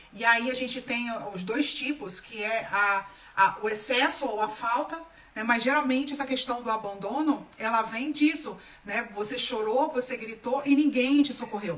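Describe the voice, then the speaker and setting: A woman speaks at a moderate pace in a high voice, her tone animated and her pitch varying in an ordinary way. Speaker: holistic therapist. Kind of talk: live stream talk.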